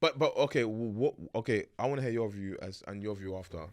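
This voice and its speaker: Speaking with a London accent, a man uses a fairly low pitch and lively intonation. His pace is fairly quick, and the background is quiet. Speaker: podcast host. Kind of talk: casual chat. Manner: fast.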